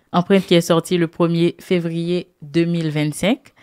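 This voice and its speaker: A woman's fairly low voice at a very slow pace, in a very clean recording with a silent background and a dry, close sound with no echo. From Haiti. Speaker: radio host. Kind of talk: radio interview.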